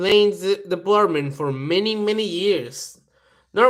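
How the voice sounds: Quiet surroundings behind a natural reading voice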